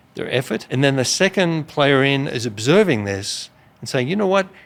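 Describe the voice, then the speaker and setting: Speaking with an Australian accent, a man keeps a fairly quick pace. His pitch sits in the medium range. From rural Australia. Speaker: business executive. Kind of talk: interview.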